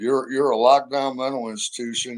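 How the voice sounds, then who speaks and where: A man speaks with a Midwestern US accent. His pitch is medium and his pace moderate. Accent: US Midwest. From St. Louis area, Missouri. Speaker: interview guest, former roofer. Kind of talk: casual interview chat.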